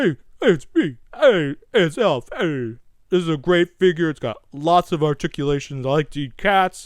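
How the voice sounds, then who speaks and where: At a moderate pace and middle pitch, the speaker puts on a character voice with a New York accent. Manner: wisecracking, casual.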